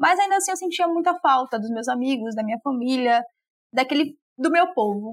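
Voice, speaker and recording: Lively intonation marks a woman speaking at a moderate pace with a dry, close sound and no echo. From Salvador, Bahia, Brazil. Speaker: law graduate and researcher. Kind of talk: interview. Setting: remote call.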